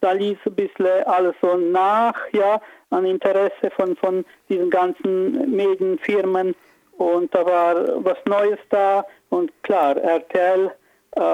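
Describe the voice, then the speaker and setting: A man's high-pitched voice at a very slow pace. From Transylvania, Romania (Agnetheln, near Sibiu). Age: 50s. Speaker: musician and actor. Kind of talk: interview. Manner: hesitant, many filler sounds.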